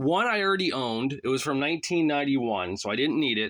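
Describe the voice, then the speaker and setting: A man talks at a very fast pace in an animated tone with a fairly high pitch and very wide pitch swings. The background is quiet. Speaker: wrestling magazine collector and YouTuber. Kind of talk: casual show-and-tell vlog.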